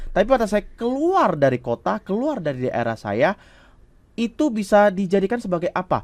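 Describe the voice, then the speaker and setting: Recorded dry and close with no echo on a very clean track with a silent background, a high-pitched man speaks at a moderate pace with very wide pitch swings. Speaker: communication coach, public speaking trainer. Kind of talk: talk show interview.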